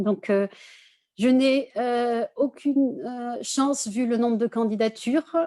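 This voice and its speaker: In a dry, close sound with no echo, a woman speaks very slowly in a high pitch with ordinary variation and a dark, mellow tone. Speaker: architecture school representative. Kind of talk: online info session presentation. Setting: video conference. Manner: many hesitations (euh).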